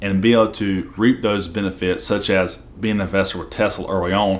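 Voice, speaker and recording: A man talks at a fairly quick pace with a Southern US accent. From US South. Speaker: finance YouTuber, military veteran. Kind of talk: casual explainer video.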